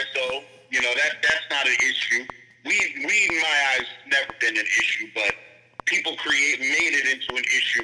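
A man speaks with a New York accent at a very even loudness over noticeable background noise. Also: moderate pace. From Brooklyn, New York. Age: 50s. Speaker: exonerated former prisoner. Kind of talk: casual interview.

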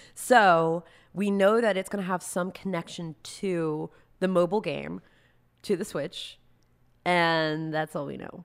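A woman speaks at a fairly slow pace and a fairly low pitch, with long, frequent pauses. The recording is very clean, with a silent background. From US South, Raleigh, North Carolina. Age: 20s. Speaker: drag and cosplay artist. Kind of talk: casual chat. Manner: animated.

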